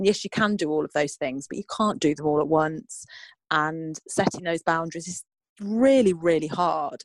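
At a moderate pace, a woman speaks in a plain, everyday voice with fairly low pitch and ordinary pitch variation, recorded with a dry, close sound and no echo. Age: 40s. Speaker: divorce and life coach. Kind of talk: casual interview.

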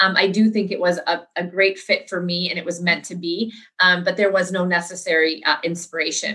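In an American accent, a woman with a plain, everyday voice speaks at a fairly quick pace and a medium pitch with fairly even intonation. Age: 40s. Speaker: entrepreneur. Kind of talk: interview.

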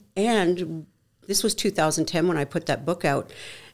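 This woman talks at a moderate pace in an unremarkable speaking voice, her fairly low pitch moving with ordinary variation. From Canada. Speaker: author, speaker and HR consultant. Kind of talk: interview conversation.

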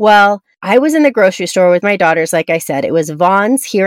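A woman speaks in a plain, everyday voice at medium pitch and a moderate pace. Her intonation is lively, and the sound is dry and close with no echo. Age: 40s. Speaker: podcast host, network marketing coach. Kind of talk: motivational podcast monologue.

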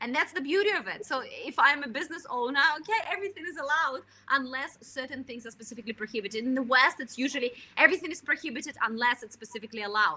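A woman speaks in a raised, projected voice with a high pitch and a bright, sharp tone at a very fast pace. Her intonation is lively and her loudness swings widely. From Russian Far East. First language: Russian. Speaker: China marketing expert, author. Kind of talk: interview.

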